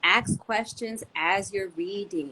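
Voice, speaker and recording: The speaker is a woman. Her intonation is lively. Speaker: homeschool teacher and yoga school founder. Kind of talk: podcast interview.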